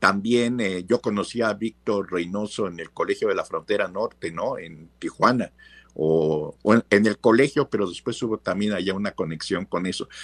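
A man with an ordinary speaking voice, fairly low-pitched, at a moderate pace with ordinary pitch variation, in a dry, close sound with no echo and a very clean recording over a silent background. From Mexico, Veracruz. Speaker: professor. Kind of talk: interview.

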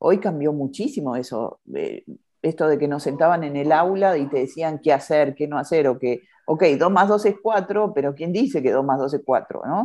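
A woman in an Argentine accent speaks at a very deep, low pitch with a dark, mellow tone and ordinary pitch variation. The background is quiet. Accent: Argentine Spanish (Rioplatense). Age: 50s. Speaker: podcast host. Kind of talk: casual interview chat.

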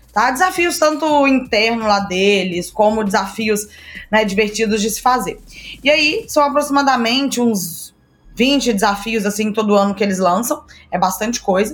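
At a moderate pace, a woman speaks in a somewhat breathy, fairly high voice. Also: lively intonation. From Brazil, Minas Gerais. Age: 20s. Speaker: startup mentor and entrepreneur. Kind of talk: casual interview.

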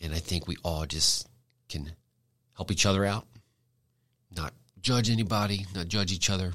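A man speaks with fairly even intonation on a very clean recording with a silent background. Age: 30s. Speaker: podcast host and father. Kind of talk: solo podcast monologue. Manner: casual, conversational.

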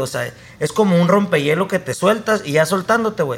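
A man's voice sits high in pitch. He talks at a moderate pace. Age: 30s. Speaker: filmmaker. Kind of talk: casual chat.

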